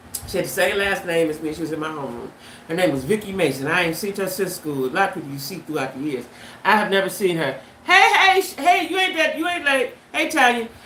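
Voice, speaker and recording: Speaking very fast with very wide pitch swings at a medium pitch, a woman is heard with audible room echo and noticeable background noise. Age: 70s. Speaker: YouTube livestreamer. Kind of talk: casual livestream chat. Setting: livestream. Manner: animated.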